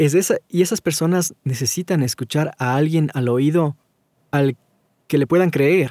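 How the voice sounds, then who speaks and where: On a very clean recording with a silent background and a dry, close sound with no echo, a man with a fairly high pitch and a dark, mellow tone talks at a fairly slow pace with ordinary pitch variation. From Ecuador. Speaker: voice-over artist. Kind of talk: interview conversation.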